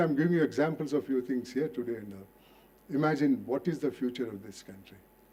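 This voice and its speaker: This man has a dark, mellow tone and a medium pitch. He speaks at a moderate pace with lively intonation. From India, coastal Karnataka. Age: 80s+. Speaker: retired judge. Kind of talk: public lecture.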